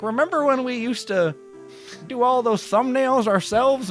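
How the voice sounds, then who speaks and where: A put-on character voice with a fairly high pitch. Music plays clearly in the background. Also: moderate pace. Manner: nostalgic, reminiscing.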